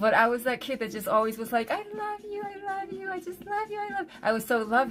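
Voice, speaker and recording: With an American accent, a woman talks at a very fast pace with hardly any pauses, using a fairly high pitch, very wide pitch swings and big swings in loudness, over noticeable background noise. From Korea, then Philadelphia area US from age 5. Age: 50s. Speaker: livestreamer and designer. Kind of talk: casual livestream chat, personal story. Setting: home livestream. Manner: halting, many fillers.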